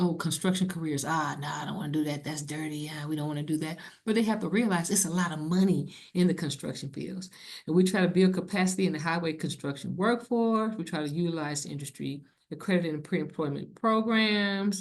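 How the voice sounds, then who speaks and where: Talking at a fairly quick pace, a woman uses a fairly low pitch with ordinary pitch variation. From US Midwest, Cleveland, Ohio. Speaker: federal civil rights program manager. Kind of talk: conference presentation. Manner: fast.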